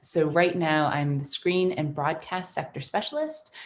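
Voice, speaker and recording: A woman with an American accent, fairly low in pitch, at a moderate pace. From United States. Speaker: screen sector specialist, writer and director. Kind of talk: panel discussion.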